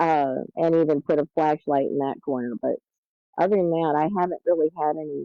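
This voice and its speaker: A woman speaks with an American accent. Her pitch is very deep and low. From US South. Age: 60s. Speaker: caller. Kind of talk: testimony.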